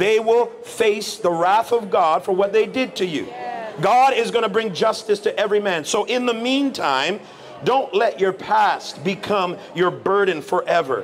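A man with a high pitch and ordinary pitch variation, at a fairly slow pace over music in the background. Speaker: street preacher. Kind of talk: street preaching, answering a passer-by's challenge about suffering. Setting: outdoors. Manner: earnest, firm, lecturing, at times sympathetic. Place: street. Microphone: handheld.

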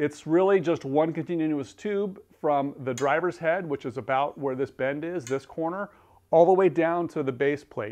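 With ordinary pitch variation, a man talks at a moderate speed. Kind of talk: tutorial. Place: garage.

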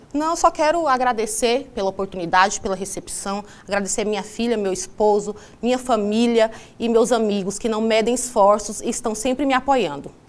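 An unremarkable speaking voice, a woman at a fairly high pitch with ordinary pitch variation and a moderate pace. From Alto Garças, Mato Grosso, Brazil; Mato Grosso, Brazil. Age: 30s. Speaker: social worker and local election candidate; election candidate. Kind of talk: TV interview, campaign statement. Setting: TV studio. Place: studio. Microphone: lapel.

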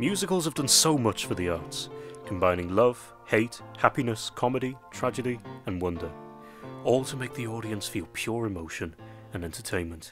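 Music plays in the background as a man speaks at a moderate pace. His medium-pitched voice has lively intonation. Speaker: radio presenter. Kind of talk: music show introduction.

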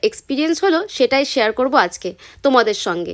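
On a very clean recording with a silent background and a dry, close sound free of echo, a woman's high voice makes very wide pitch swings. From West Bengal, India (Murshidabad). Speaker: food and travel vlogger. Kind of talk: vlog narration.

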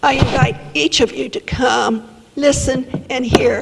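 A woman with an American accent speaks at a high pitch and a fairly slow pace. Noticeable background noise runs underneath. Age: 70s. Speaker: resident speaking at public comment. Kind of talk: public comment. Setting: city council meeting. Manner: animated.

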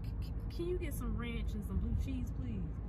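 A woman speaks at a moderate pace over loud background noise. The sound is dry, with no echo. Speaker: vlogger. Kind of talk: casual vlog chat. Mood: amused, laughing storytelling. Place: car. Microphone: phone near.

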